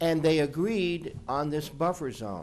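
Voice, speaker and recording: A man with an ordinary speaking voice talks at a fairly slow pace in a fairly high voice. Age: 60s. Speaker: attorney. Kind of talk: public meeting testimony.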